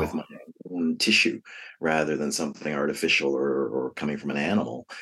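A man with an American accent, vocal fry, and a fairly quick pace. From New York City (the Bronx). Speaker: novelist. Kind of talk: interview.

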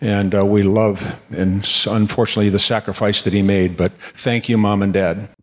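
Delivered at a moderate pace in an American accent, the speech has monotone, flat intonation and very even loudness. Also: man, fairly low pitch for a man. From Detroit, Michigan. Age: 70s. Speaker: Marine veteran. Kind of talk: storytelling at a live event.

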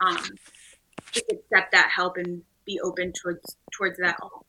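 Her tone is bright and sharp as a woman speaks at medium pitch and a moderate pace. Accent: American. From Northeast Texas. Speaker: athletic trainer, doctoral student. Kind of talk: casual panel discussion.

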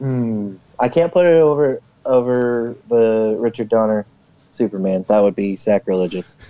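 Recorded dry and close with no echo, a man speaks at a moderate pace in a dark, mellow, medium-pitched voice with ordinary pitch variation. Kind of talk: casual chat.

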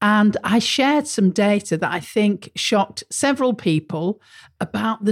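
Recorded with a dry, close sound and no echo, a woman at medium pitch speaks at a fairly slow pace with lively intonation. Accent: British. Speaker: marketing podcast host. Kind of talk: solo podcast monologue. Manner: casual, conversational.

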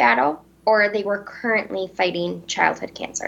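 In an Upper Midwest accent, a woman speaks at a medium pitch with lively intonation. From central Wisconsin, Vesper. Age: 20s. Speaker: beauty pageant titleholder. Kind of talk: interview.

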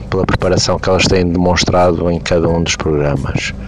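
A man speaks against noticeable background noise. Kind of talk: recorded voice message.

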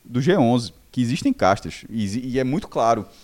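At a moderate pace and medium pitch, a man speaks in a plain, everyday voice. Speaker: football finance pundit. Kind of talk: casual debate.

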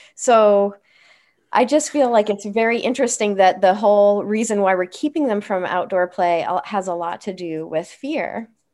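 A normal speaking voice carries lively intonation at a moderate pace. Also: woman. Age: 40s. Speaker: occupational therapist. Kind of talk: casual chat. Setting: video call.

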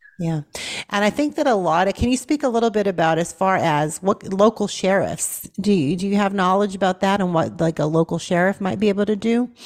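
With an American accent and very even loudness, a woman uses lively intonation at a medium pitch in an unremarkable speaking voice. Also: fairly quick pace. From Boston, Massachusetts. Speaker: nurse and talk radio host. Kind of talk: talk radio interview.

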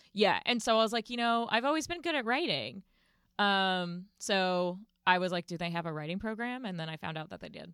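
A woman with an American accent and an unremarkable speaking voice, medium in pitch, fairly quick, with lively intonation and big swings in loudness, in a very clean recording with a silent background. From US South, Winston-Salem, North Carolina. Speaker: comedy writer and editor. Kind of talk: casual interview chat.

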